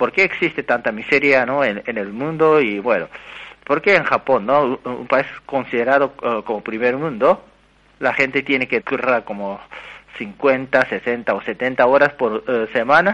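At a fairly slow pace, a man talks at a medium pitch with a bright, sharp tone and ordinary pitch variation. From Japan. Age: 30s. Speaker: economics researcher. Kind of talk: interview. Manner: halting.

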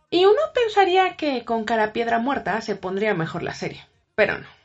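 Over music in the background, a woman with a Mexican accent speaks at a fairly slow pace with very wide pitch swings. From Mexico. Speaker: listener. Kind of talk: recorded voice message.

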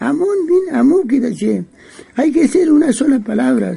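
Very wide pitch swings ride over noticeable background noise. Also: man. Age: 80s+. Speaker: Mapuche elder. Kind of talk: interview. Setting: at his home. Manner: halting.

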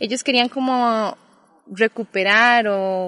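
Fairly high in pitch, a woman's voice shows ordinary pitch variation. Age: 20s. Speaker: sociologist. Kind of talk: casual interview. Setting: outdoors in a park.

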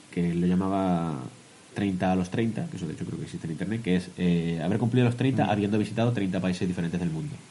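Fairly low male voice, fairly quick pace, ordinary pitch variation. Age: 20s-30s. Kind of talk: casual chat.

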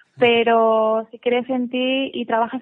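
Fairly high in pitch, a woman speaks in a normal speaking voice with fairly even intonation. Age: 30s. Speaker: paralympic weightlifter. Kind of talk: radio interview. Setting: live radio.

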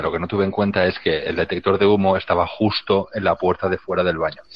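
This is a man with a fairly low pitch. He speaks at a moderate pace. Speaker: podcast co-host. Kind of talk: casual chat.

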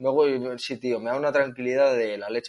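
Here a man talks in an unremarkable speaking voice, medium in pitch, with fairly even intonation. The sound is dry and close, without echo. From Basque Country, Spain (near Bilbao). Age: 30s. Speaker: van traveller, wheelchair user. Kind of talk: casual interview.

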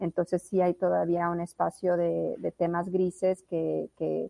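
Very slowly, a woman speaks at a fairly low pitch. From moved around Latin America (Colombia's La Guajira, Bolivia, Mexico). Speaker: blockchain consultant. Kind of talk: interview.

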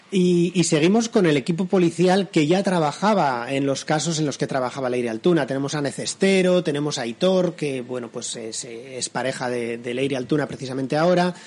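Over noticeable background noise, a man with a fairly high pitch speaks at a fairly quick pace with lively intonation. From San Sebastián, Basque Country, Spain. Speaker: crime novelist. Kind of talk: interview. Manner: halting, many repetitions.

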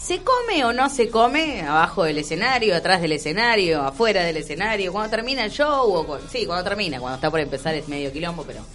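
In a Rioplatense accent, the speaker talks very fast with hardly any pauses and very wide pitch swings over noticeable background noise. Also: woman, medium pitch for a woman. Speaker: radio host. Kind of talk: casual chat.

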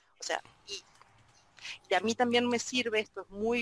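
In a dry, close sound with no echo, a woman with a Rioplatense accent speaks at a moderate pace. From Argentina. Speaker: Spanish and French teacher. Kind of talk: group discussion. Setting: video conference.

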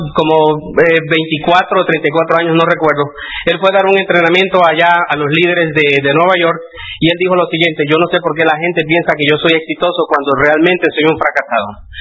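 Over noticeable background noise, a man talks at a moderate pace with a high pitch, very even loudness and a monotone, flat intonation. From Mexico, Puebla. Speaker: motivational speaker. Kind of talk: seminar talk.

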